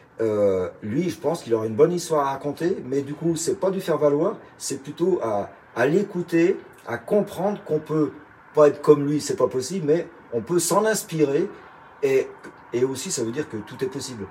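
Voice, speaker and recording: Lively intonation marks this man's fairly high, dark, mellow voice as he speaks at a moderate pace. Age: 60s. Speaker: retired chef. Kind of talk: interview.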